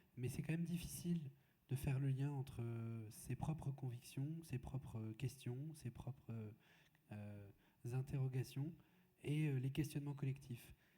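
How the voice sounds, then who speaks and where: A man speaks at a fairly slow pace with long, frequent pauses, his intonation fairly even. His medium-pitched voice is somewhat breathy, with a dark, mellow tone. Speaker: moderator. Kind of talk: panel discussion. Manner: halting.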